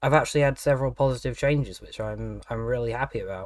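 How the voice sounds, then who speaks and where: Fairly even intonation from a man in a British accent. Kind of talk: audio diary, casual talk.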